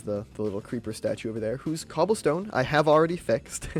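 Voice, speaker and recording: The pace is fairly quick. Behind the voice, music can be heard. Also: man. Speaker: gaming YouTuber. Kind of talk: gameplay commentary. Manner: fast; halting, many fillers and repeats.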